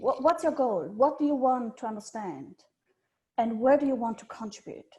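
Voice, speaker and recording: A woman's high-pitched voice with a dark, mellow tone, moderate pace and ordinary pitch variation. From Switzerland. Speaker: journal editor. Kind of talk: presentation.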